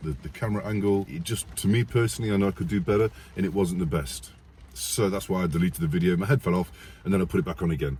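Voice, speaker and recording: A man with an English accent talks at a very fast pace, his very deep, low voice carrying a dark, mellow tone and lively intonation. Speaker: army veteran and YouTuber. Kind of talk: casual vlog storytelling.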